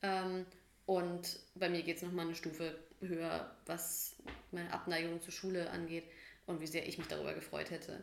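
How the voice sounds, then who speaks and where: There's audible room echo as a woman with a fairly low pitch speaks at a moderate pace in a monotone, flat intonation. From Bavaria, Germany (Munich, then Hof). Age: 30s. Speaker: podcast co-host. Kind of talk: casual chat.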